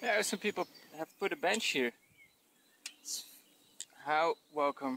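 With a high pitch, a bright, sharp tone and lively intonation, a man talks at a fairly slow pace in a dry recording with no echo and light background noise. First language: not English. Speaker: touring cyclist. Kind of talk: casual vlog talk to camera outdoors. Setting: outdoors. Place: open country. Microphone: phone near.

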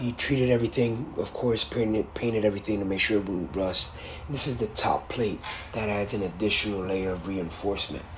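A man speaks with a fairly low pitch and ordinary pitch variation. Noticeable background noise sits behind him. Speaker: car channel host. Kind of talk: video tutorial. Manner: casual, filler words.

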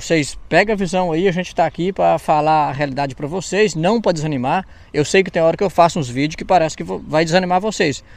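Words come out at a rather brisk rate. The pitch shows ordinary movement. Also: man. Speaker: YouTuber interviewer. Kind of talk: casual interview chat.

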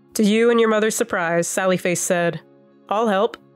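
A woman speaks with ordinary pitch variation over music playing in the background. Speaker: fanfic reader, ASMR roleplay narrator. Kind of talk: fanfic reading with roleplay dialogue. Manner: soft, intimate, ASMR-style.

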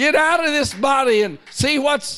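A man talks very slowly, with little sound in the background. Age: 60s. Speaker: preacher. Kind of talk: sermon. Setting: church. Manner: animated. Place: church. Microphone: handheld.

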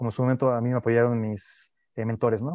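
Here a man is heard in a quiet background. The sound is dry, with no echo. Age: young. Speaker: neuroscience researcher; guest. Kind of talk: radio interview. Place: home room. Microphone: earbuds.

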